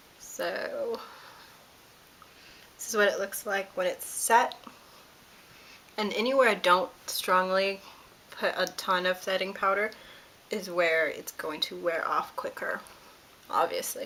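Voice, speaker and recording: A woman speaks at a fairly slow pace with long, frequent pauses over noticeable background noise. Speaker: beauty vlogger. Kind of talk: product review tutorial. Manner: hesitant, many fillers; casual.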